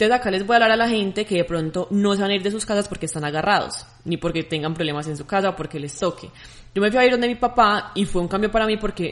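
A woman talks very fast, her pitch varying in an ordinary way. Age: young. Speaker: podcast co-host. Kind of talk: casual chat.

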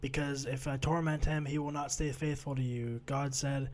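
The voice is quiet and somewhat breathy, its intonation monotone and flat. Audible room echo surrounds it. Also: man. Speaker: podcast co-host, Bible study discussion. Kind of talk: casual chat, summarizing scripture. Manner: low energy, quiet.

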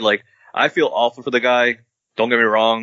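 A man with an ordinary speaking voice and a medium pitch talks at a moderate pace. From Massachusetts, Boston area (Quincy). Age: 30s. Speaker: caller, sports fan. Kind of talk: casual chat. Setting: video call.

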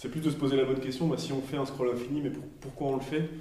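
Someone speaks at a very fast pace, with noticeable background noise and audible room echo. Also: man. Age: 30s. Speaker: design and product coach. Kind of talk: casual discussion. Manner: halting.

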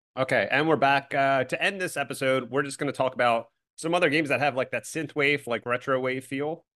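A man with an American accent speaks at a fairly quick pace with a bright, sharp tone. His intonation stays fairly even against a quiet background. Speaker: podcast host. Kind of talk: casual banter.

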